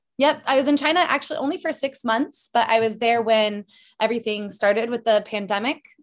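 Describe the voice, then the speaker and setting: A woman talks at a fairly quick pace with fairly high pitch and ordinary pitch variation over a quiet background. She has an ordinary speaking voice. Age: 30s. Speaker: singer and English teacher. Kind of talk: casual chat.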